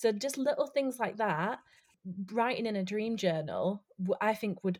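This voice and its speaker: A woman at a moderate pace with a Yorkshire accent, in a very clean recording with a silent background. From West Yorkshire, northern England. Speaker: tarot card reader and stage actor. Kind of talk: casual chat.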